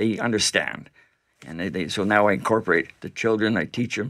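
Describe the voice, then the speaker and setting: In a Canadian accent, a man with an ordinary speaking voice talks at a moderate pace in a fairly low pitch, on a very clean recording with a silent background. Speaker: event organizer and veteran's son. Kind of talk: radio interview. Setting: radio studio.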